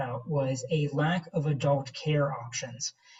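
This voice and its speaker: This is a man with a fairly high pitch. His voice is somewhat breathy. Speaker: director of education at a patient foundation. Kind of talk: presentation in a video-call meeting. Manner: hesitant, many fillers.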